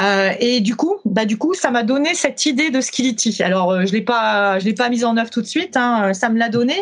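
Using a normal speaking voice, a woman talks at a moderate pace with a fairly high pitch, lively intonation, very even loudness and hardly any pauses. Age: 50s. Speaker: company founder and training consultant. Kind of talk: interview.

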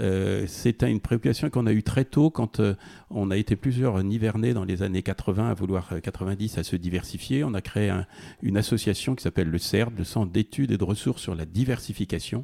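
With a dark, mellow tone and fairly low pitch, a man speaks at a moderate pace with ordinary pitch variation in a very clean recording, silent in the background, dry and close with no echo. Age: 60s. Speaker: farmer. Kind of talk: interview. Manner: halting.

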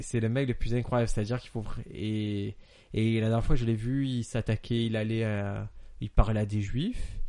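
The voice has a dark, mellow tone and a monotone, flat intonation, though its loudness swings widely. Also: man, medium pitch for a man, moderate pace. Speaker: podcast co-host. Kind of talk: casual chat.

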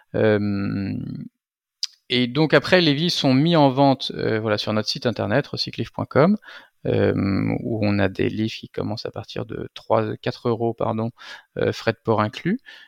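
A man talks at a fairly slow pace, with long, frequent pauses. The sound is dry and close, with no echo. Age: 40s. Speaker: entrepreneur, founder of a used-book business. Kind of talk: interview. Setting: video call.

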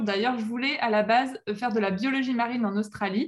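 Fairly even intonation and a fairly quick pace mark an unremarkable speaking voice. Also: woman. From western France, La Rochelle. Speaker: professional mermaid performer. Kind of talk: interview.

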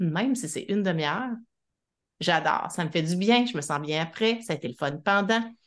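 Against a quiet background, a woman's voice makes very wide pitch swings. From Quebec City, Quebec. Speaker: psychologist. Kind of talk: interview.

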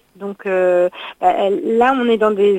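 A woman with a fairly high pitch and ordinary pitch variation talks at a fairly slow pace in an unremarkable speaking voice, recorded with a dry, close sound and no echo. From Normandy, France. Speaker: festival founder and director. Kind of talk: interview.

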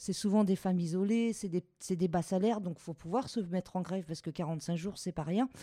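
A woman's medium-pitched voice with ordinary pitch variation and a fairly quick pace. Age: 40s. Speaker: home care worker and strike leader. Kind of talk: testimony. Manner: hesitant, with fillers.

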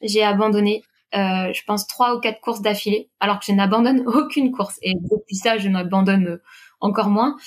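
With a plain, everyday voice, a woman talks at medium pitch and fairly even intonation. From Brittany, France (Quimper, south Finistère). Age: 30s. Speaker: PE teacher and amateur runner. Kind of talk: interview.

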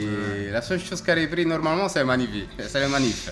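A man with an Italian accent speaks with lively intonation, heard with audible room echo and noticeable background noise. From Italy, Rome. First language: Italian (speaking French). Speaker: coffee shop owner. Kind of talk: casual interview. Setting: coffee shop.

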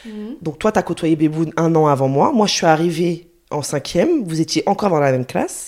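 A woman with a normal speaking voice talks at a fairly quick pace in a fairly low pitch, with ordinary pitch variation and hardly any pauses. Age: 30s. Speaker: specialized educator and young mother. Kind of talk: casual chat. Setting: at the host's home.

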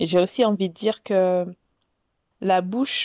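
In a very clean recording with a silent background, a woman with a dark, mellow tone talks at a moderate pace and medium pitch, the sound dry and close with no echo. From West African heritage. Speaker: podcast host. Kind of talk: solo podcast monologue. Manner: casual, hesitant with fillers.

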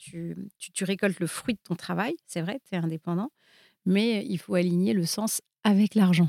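In a very clean recording with a silent background and a dry, close sound with no echo, a woman talks at a moderate pace in a medium-pitched, dark, mellow voice. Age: 50s. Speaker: entrepreneur and investor. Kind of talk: casual chat.

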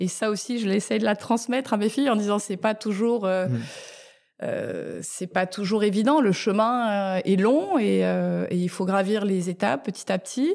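A woman with an ordinary speaking voice talks at a fairly slow pace, medium in pitch with ordinary pitch variation. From Tokyo, London and France. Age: 40s. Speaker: food entrepreneur. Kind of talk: interview. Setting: office space in Paris.

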